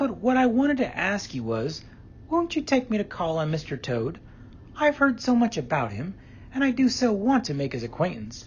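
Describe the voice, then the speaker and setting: This man is doing a put-on character voice, pitched high at a moderate pace. Clear background noise runs behind him. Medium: read story. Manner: cautious, polite.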